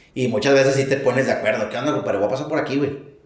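With a Mexican accent, a man speaks at a fairly high pitch amid audible room echo. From Mexico. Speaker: truck driver. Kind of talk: casual chat.

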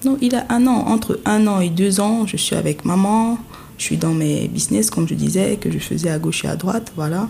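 There is noticeable noise in the background. Over it, a woman speaks at a moderate pace. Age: 20s. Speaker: interviewed mother. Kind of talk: personal testimony.

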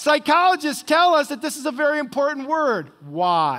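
With an American accent, the speaker uses lively intonation and an animated, bright, sharp tone at a moderate pace on a very clean recording with a silent background. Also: man. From US Midwest, northwest Ohio. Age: 60s. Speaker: retired pastor. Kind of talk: sermon. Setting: church.

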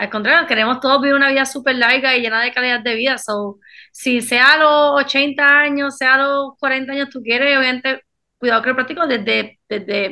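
A raised, projected voice with a bright, sharp tone speaks at a moderate pace with ordinary pitch variation. The background is quiet. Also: woman. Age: 20s. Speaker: chiropractor. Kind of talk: casual chat.

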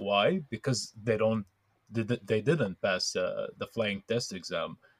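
At a very slow pace, a man speaks at a medium pitch in a dry, close sound with no echo. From Palestine. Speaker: student. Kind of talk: casual interview.

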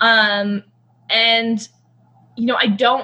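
A woman's fairly high voice with a Canadian accent over noticeable background noise. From Canada. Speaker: conservationist. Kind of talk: casual chat.

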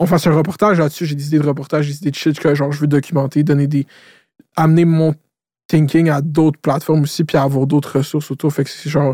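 Speaking at a very fast pace, a man with a fairly high pitch and a dark, mellow, somewhat breathy tone keeps a flat, monotone delivery, recorded very cleanly against a silent background with a dry, close sound and no echo. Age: 20s. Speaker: podcast host. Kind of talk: casual chat.

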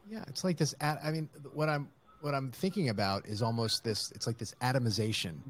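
A man speaks with very wide pitch swings and a somewhat breathy voice. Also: medium pitch for a man, fairly quick pace. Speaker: podcast host. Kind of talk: casual interview.

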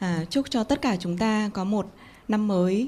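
At a moderate pace, a woman with a medium-pitched, somewhat breathy, dark and mellow voice speaks with lively intonation. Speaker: business leader. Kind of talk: panel talk.

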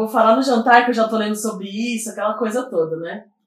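This woman has an ordinary speaking voice, fairly high in pitch, and talks at a fairly quick pace. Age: 30s. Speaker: activist and social scientist. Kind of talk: casual chat.

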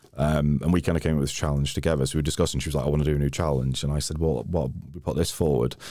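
A man with a North Wales accent speaks at a very fast pace with hardly any pauses, his very deep, low pitch and dark, mellow tone held in a flat monotone. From North Wales, Wrexham area. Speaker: climber and hiker. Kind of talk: casual chat.

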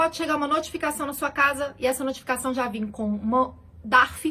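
A woman speaks in a raised, projected voice with a high pitch. Her tone is bright, sharp and animated. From Belo Horizonte, Minas Gerais, Brazil. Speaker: accountant and finance YouTuber. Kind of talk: casual explainer video.

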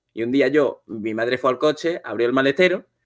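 With music playing in the background, a man speaks at a fairly high pitch. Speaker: content creator, streamer. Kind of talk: casual chat on a livestream.

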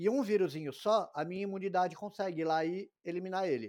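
A man speaks at a fairly quick pace in a high pitch with a dark, mellow tone. His pitch variation is ordinary, and the recording is very clean with a silent background. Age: 40s. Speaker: infectious disease doctor. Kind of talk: interview.

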